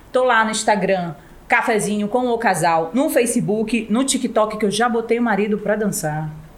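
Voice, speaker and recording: Noticeable background noise sits behind a woman speaking at a fairly high pitch and moderate pace, with ordinary pitch variation and very even loudness. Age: middle-aged. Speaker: podcast co-host. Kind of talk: sponsor plug; casual chat.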